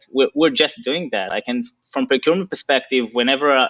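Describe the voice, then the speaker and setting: Speaking with a non-native accent, a man shows ordinary pitch variation. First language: not English. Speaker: operations executive. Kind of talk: interview. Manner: hesitant with fillers.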